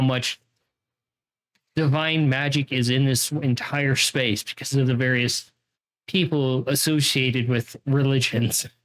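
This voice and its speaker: At a fairly slow pace, a man with an American accent talks in a fairly high pitch with ordinary pitch variation. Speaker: game master. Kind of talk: tabletop roleplay narration.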